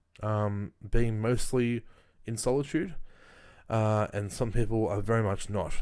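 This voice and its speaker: With an Australian accent, a man speaks at a fairly slow pace in a very clean recording with a silent background. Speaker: YouTuber. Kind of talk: casual monologue. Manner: halting, many fillers.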